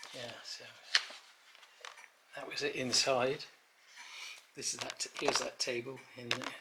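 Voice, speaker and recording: Long, frequent pauses break up this man's speech, delivered with an English accent against noticeable background noise. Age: 80s+. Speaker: chateau owner. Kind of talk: casual chat. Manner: halting.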